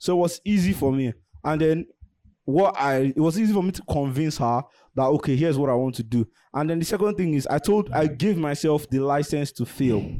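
Fairly high-pitched for a man, this speaker has a dark, mellow tone, ordinary pitch variation and a fairly quick pace. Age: 20s. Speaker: tech YouTuber. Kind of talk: casual interview chat.

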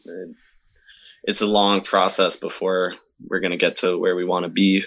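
A man with an American accent and a plain, everyday voice, fairly low in pitch, with ordinary pitch variation and a quiet background. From Upstate New York, Camillus near Syracuse. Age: 20s. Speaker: show promoter and musician. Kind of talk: casual interview chat.

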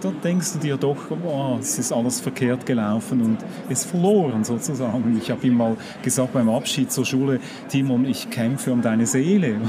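Speech comes at a moderate pace with ordinary pitch variation over noticeable background noise. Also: man, medium pitch for a man. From Switzerland. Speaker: magazine publisher. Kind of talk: casual chat. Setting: book fair.

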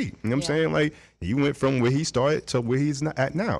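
Very fast speech in a New York accent. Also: man. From New York (Brooklyn). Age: 40s. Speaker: music producer. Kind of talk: casual interview chat. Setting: studio.

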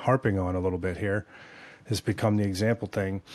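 A man's fairly low voice comes through on a very clean recording, the background silent. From California. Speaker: former atheist sharing conversion story. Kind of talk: testimony. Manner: animated.

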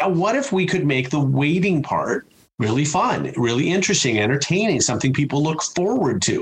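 Fairly quick and fairly high-pitched, a man speaks with a Chicago accent. His pitch swings very widely while his loudness stays very even. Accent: Chicago American. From US Midwest, Chicago. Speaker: customer experience speaker and author. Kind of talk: interview conversation.

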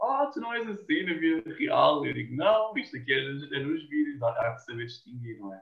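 Barely pausing, a man talks at a moderate pace with big swings in loudness. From Portugal, Cascais. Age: 20s. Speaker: TikToker and university student. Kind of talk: casual interview.

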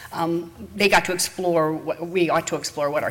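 Against noticeable background noise, a woman speaks at a fairly low pitch. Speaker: congregation member. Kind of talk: reading aloud. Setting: church.

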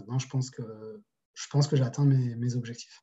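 A man speaks in a flat monotone. His voice is somewhat breathy. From France, Paris region and Toulouse. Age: 30s. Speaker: e-commerce entrepreneur. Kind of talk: casual interview. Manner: hesitant, many fillers.

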